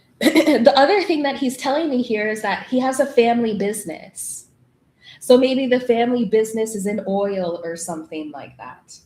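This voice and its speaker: With an East Coast US accent, a woman talks in a fairly high pitch and lively intonation. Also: moderate pace. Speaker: tarot reader. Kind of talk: live tarot reading.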